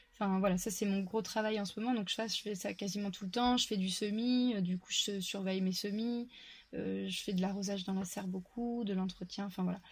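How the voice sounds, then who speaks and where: This woman talks at a fairly quick pace in a somewhat breathy voice. Her intonation stays monotone and flat. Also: medium pitch for a woman. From France, Touraine. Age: 30s. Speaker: farmer. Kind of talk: casual chat.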